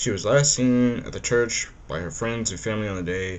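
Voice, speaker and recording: A man at a moderate pace, with audible room echo. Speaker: true crime YouTuber. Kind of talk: scripted narration with casual asides. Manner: halting, stumbling over words.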